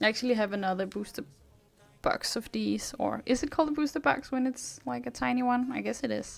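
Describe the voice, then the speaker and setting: Music plays in the background as a woman with a Danish accent talks at a fairly quick pace. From Denmark. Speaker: streamer. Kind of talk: live stream chat. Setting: live stream.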